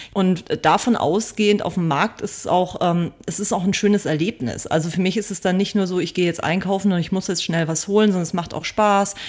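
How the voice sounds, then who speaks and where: Speaking at a fairly quick pace, a woman uses a normal speaking voice with fairly even intonation. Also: medium pitch for a woman. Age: 40s. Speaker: vegan food blogger and cookbook author. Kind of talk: interview.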